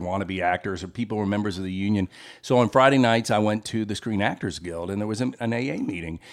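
A man with an American accent speaks fairly quickly in a plain, everyday voice at a fairly low pitch. The recording is very clean, with a silent background. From US South, Memphis. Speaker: recovering alcoholic sharing his story. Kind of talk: testimony.

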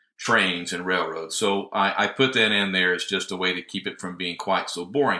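In a Southern US accent, the speaker's bright, sharp tone carries lively intonation at a moderate pace. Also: man. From US South, northwest Georgia. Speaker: healthcare IT consultant. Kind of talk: interview.

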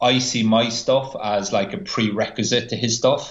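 A man in an Irish accent speaks with fairly even intonation. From Ireland. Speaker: physiotherapist. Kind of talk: podcast interview.

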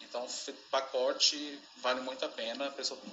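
A male voice at a fairly slow pace amid noticeable background noise. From Belo Horizonte, Brazil. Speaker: dog groomer. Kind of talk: pre-recorded audio contribution.

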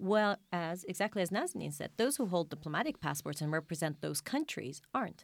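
This woman has a fairly low pitch with vocal fry. Her intonation is lively and her pace fairly quick. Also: hardly any pauses. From Iraq. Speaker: journalist. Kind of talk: panel discussion.

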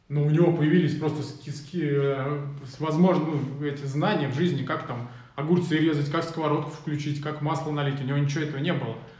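Monotone, flat intonation from a man with a fairly high pitch, amid noticeable background noise. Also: fairly quick pace. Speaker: podcast host. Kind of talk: casual live chat. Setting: video livestream. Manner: casual, colloquial.

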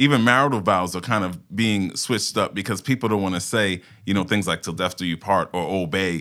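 A man with a New York accent speaks at a moderate pace and a fairly low pitch, with ordinary pitch variation. His tone is bright and sharp, and the recording is very clean with a silent background. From Brooklyn, New York (Fort Greene). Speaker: paralegal. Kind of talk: podcast interview.

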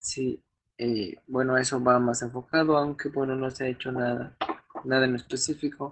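At a moderate pace, a man with a medium pitch speaks in a monotone, flat intonation. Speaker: podcast host. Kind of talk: casual chat. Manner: halting.

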